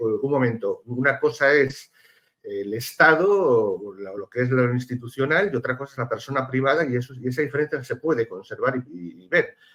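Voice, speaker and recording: A man talks at a fairly quick pace with a Spanish accent. His pitch sits in the medium range. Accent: Spanish (Spain). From Spain. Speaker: political analyst, lawyer. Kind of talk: TV panel discussion. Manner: halting, many fillers.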